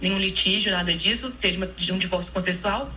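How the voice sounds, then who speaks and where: A woman speaks with a Minas Gerais accent. Audible room echo and noticeable background noise are present. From Minas Gerais, Brazil. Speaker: notary. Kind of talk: radio interview. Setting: radio studio.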